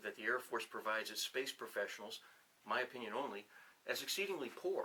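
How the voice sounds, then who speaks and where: A man with a New England accent speaks at a fairly quick pace. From New Hampshire. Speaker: retired officer and professor. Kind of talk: casual interview. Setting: on-camera 360 video interview.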